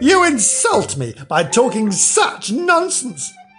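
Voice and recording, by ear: A slow put-on character voice with very wide pitch swings and a fairly bright tone, faint music in the background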